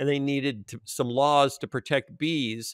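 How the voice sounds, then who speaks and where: A man at a moderate pace, dry sound with no echo, quiet background. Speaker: podcast co-host. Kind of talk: commentary. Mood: amused, lightly humorous. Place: home room.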